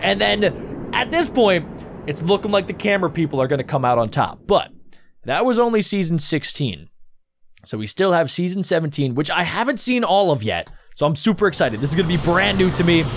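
With very wide pitch swings, a man talks fairly quickly while noticeable background noise plays behind him. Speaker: video reactor. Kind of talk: casual reaction commentary.

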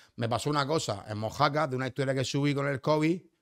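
A man rushes along at a very fast pace, his pitch varying in an ordinary way over a quiet background. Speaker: nightlife figure and former footballer; podcast guest. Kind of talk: casual chat. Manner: stammers and talks very fast when euphoric. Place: studio. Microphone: studio mic.

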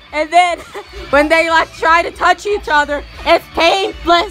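A woman speaks in an extremely high voice with a playful tone, at a moderate pace and with fairly even intonation. Music plays in the background. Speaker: improv voiceover performer. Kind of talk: improvised comedic sports commentary. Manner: sassy, playful.

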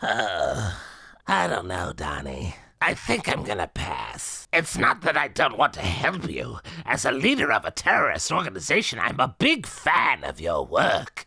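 The voice is raspy. It moves at a moderate pace. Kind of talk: comic voice acting. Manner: polite, amused, teasing.

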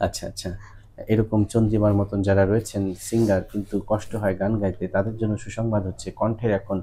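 A man with a fairly low pitch has a dark, mellow tone that is somewhat breathy. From Bangladesh. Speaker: ENT doctor. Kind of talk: doctor's patient consultation video. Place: office. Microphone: lapel.

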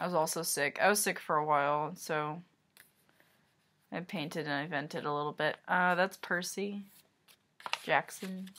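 Mumbled speech with a bright, sharp tone, a moderate pace, fairly even intonation and long, frequent pauses. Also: woman, fairly low pitch for a woman. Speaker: artist. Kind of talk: casual talk to camera. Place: home room. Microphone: webcam.

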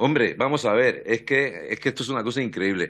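Speaking very fast, a man keeps an ordinary amount of pitch variation. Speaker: opposition deputy. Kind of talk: parliamentary speech, pointed questioning of the minister. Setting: parliamentary committee hearing. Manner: sarcastic, combative, fluent. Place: hall. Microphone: podium.

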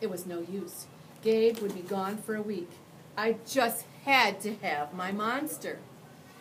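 The speaker does plain reading aloud.

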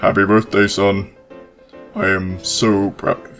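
With faint music in the background, a man speaks at a fairly slow pace in a fairly low pitch. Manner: warm, proud.

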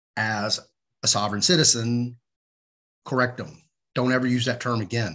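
A man talks at a fairly quick pace. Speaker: show host. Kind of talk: live show commentary. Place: home room. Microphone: webcam.

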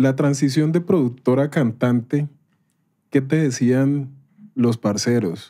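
The delivery moves at a very slow pace, with a dark, mellow tone and ordinary pitch variation. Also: man. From Colombia, Cali. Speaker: podcast host. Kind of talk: casual interview chat. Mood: casual, joking. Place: studio. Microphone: studio mic.

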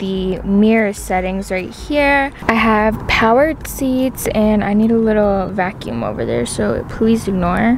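Light background noise sits under a dry sound with no echo. A woman speaks at a fairly slow pace with ordinary pitch variation. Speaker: vlogger showing her new car. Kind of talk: casual vlog chat. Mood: excited, chatty. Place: car. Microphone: phone near.

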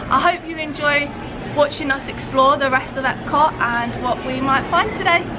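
Crowd noise sits in the background. The speaker keeps a moderate pace with ordinary pitch variation. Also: woman. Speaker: travel vlogger. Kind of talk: casual vlog chat. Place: street. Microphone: phone near.

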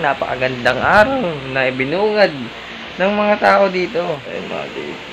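There is noticeable background noise in the recording. Over it, a man's speech moves at a moderate tempo. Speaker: vlogger. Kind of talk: casual vlog chat. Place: home room. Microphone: phone near.

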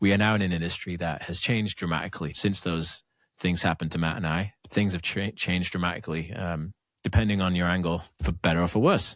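Speaking with an American accent at a fairly quick pace, a man uses a very deep, low voice and fairly even intonation on a very clean recording with a silent background. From northern England, Lancashire. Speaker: singer-songwriter and podcast co-host. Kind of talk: casual chat.

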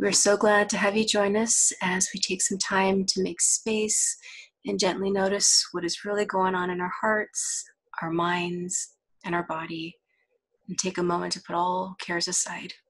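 At a moderate pace, a woman with a medium pitch speaks in a somewhat breathy voice with monotone, flat intonation. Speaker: counselor. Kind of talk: session welcome and introduction.

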